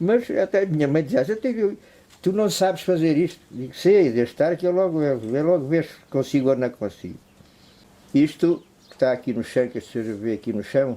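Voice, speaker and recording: His tone is dark and mellow. The man moves at a moderate pace, his intonation lively. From Portugal, Algarve (Cacela Velha). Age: 70s. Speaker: chair maker. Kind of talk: interview testimony and craft explanation. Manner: casual, repetitive.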